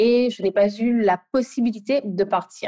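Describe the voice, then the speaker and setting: A woman's fairly high voice, dark and mellow in tone, with ordinary pitch variation and a dry, close sound with no echo. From Guadeloupe. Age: 20s. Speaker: UX product designer. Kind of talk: interview. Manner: halting.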